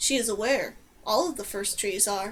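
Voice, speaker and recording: A woman puts on a character voice. Her pitch sits fairly high. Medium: read story. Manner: dry, matter-of-fact.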